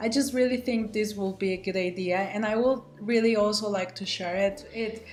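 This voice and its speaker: A woman speaks with a fairly high pitch and ordinary pitch variation. Noticeable background noise runs behind her. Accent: Spanish. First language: Spanish. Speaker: student pilot. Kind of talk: vlog self-introduction. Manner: casual, with frequent fillers.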